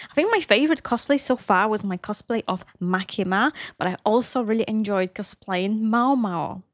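A woman with an Eastern European accent at a moderate pace, ordinary pitch variation, dry sound with no echo and a quiet background. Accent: Slavic. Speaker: cosplayer and anime reaction youtuber. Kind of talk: casual Q&A talk to camera. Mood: relaxed, friendly. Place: home room. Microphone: studio mic.

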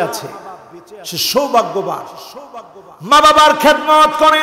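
The voice is raised and projected. There is audible room echo and light background noise. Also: man. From Bangladesh. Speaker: Islamic preacher. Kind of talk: sermon. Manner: emotional. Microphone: podium.

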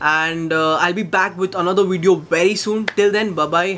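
A man's high voice with fairly even intonation. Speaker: tech vlogger. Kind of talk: casual unboxing vlog chat.

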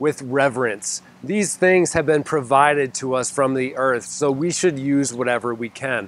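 The recording is dry with no echo, as a man talks at a moderate pace with ordinary pitch variation. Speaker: gardening channel host. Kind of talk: casual vlog chat. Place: garden. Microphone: lapel.

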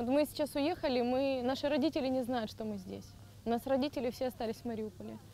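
Very fast and high-pitched, a woman speaks with a dark, mellow tone and fairly even intonation. The sound is dry with no echo, over light background noise. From Mariupol, Ukraine; Ukraine. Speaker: refugee, former job centre employee. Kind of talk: emotional testimony; interview answer. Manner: halting, repeating words. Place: open country.

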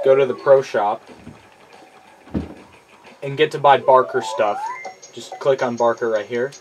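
A man's fairly slow delivery, with long, frequent pauses, big swings in loudness and noticeable background noise. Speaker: gamer. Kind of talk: casual gameplay commentary. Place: home room.

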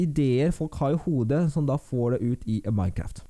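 A man's dark, mellow voice, with lively intonation and a fairly slow pace, over a quiet background. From Norway. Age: 20s. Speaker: YouTuber. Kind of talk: Q&A vlog. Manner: casual, with filler sounds. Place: home room. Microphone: studio mic.

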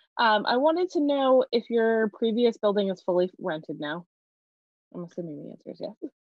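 A woman talks at a fairly quick pace in a fairly high pitch, with very wide pitch swings and big swings in loudness. The sound is dry with no echo, over a quiet background. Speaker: city council committee chair. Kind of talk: public meeting; meeting questions and remarks. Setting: video call. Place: home room. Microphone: video call.

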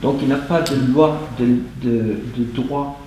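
A man speaks with ordinary pitch variation. The room echo is audible, with light background noise. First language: English (speaking French). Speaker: meeting participant. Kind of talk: audience question. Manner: halting. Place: meeting room. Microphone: camera far.

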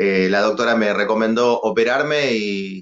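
Against a quiet background, a man talks in a fairly low voice. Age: 40s. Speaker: guest. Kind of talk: casual interview. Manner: halting, many repetitions. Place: studio. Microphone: video call.

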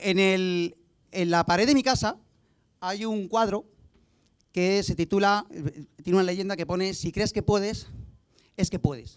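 A man with a high pitch, fairly even intonation, a fairly slow pace and long, frequent pauses, over a quiet background. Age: 40s. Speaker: mayoral candidate; candidate. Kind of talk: speech. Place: stage. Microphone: handheld.

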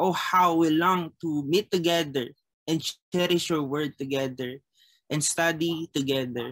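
Speech comes at a fairly slow pace over a quiet background. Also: man. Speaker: chapel service leader. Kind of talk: prayer and scripture reading. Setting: video call. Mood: calm, reverent. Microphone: webcam.

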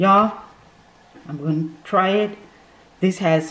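Her pitch shifting in an ordinary way, a woman speaks at a fairly slow pace. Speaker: food vlogger. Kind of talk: casual vlog chat. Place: home room. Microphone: phone near.

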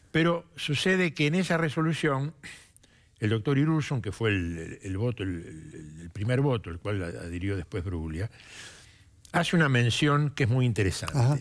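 Against a quiet background, a man speaks at a moderate pace with very wide pitch swings. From Argentina. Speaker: prosecutor. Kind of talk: TV interview. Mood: calm, measured, serious. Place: studio. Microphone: headset.

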